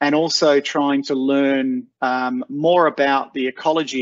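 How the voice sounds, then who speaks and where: In a dry sound with no echo, a man speaks fairly slowly with monotone, flat intonation. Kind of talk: webinar presentation. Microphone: video call.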